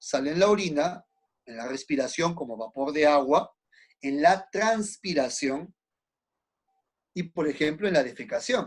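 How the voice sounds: A man talks with lively intonation and a slightly husky edge.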